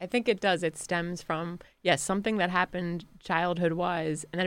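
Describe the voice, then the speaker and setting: In a very clean recording with a silent background, a woman speaks with an American accent. She has a plain, everyday voice with a fairly low pitch. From United States, Irish American family. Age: 40s. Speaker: comedian. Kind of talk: casual chat.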